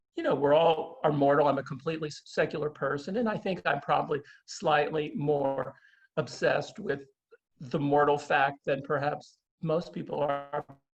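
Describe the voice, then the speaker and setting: Somewhat breathy, this voice keeps a moderate pace and shows ordinary pitch variation. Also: man, fairly high pitch for a man. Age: 60s. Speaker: author. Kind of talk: interview conversation. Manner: halting.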